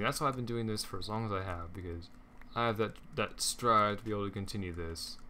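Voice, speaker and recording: A man's voice, bright and sharp in tone. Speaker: gaming YouTuber. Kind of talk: gameplay commentary.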